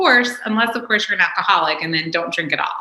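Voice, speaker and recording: Her pitch varies in an ordinary way as a woman talks. Noticeable background noise is present throughout. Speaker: workshop presenter. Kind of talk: workshop talk. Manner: fast.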